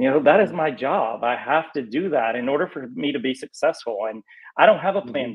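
Speaking at a fairly quick pace, a man with an American accent has a plain, everyday voice. His pitch is fairly high and his intonation is lively. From North Carolina. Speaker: real estate agent. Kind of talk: interview. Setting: call.

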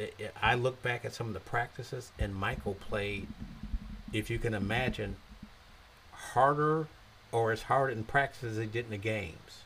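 A man talks at a moderate pace in an unremarkable speaking voice. His pitch sits at a medium level with ordinary variation. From US Midwest, Zion, Illinois. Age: 60s. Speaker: mayor and former professional basketball player. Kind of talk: interview.

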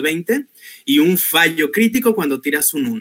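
This man's tone is bright and sharp, with lively intonation. He keeps a moderate pace. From Mexico, Guadalajara, Jalisco. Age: 30s. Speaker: chemical engineer and English teacher, tabletop RPG player. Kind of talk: panel discussion.

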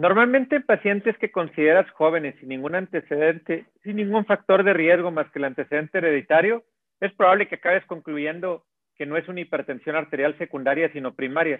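The speaker moves at a fairly quick pace with ordinary pitch variation and big swings in loudness. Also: man, high pitch for a man. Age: 50s. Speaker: cardiologist. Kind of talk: interview.

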